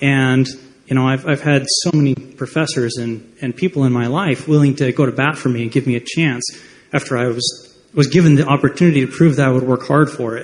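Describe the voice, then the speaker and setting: Fairly quick speech in an American accent with fairly even intonation. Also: man, medium pitch for a man. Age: 30s. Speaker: audience member at town hall. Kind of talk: testimony. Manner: halting.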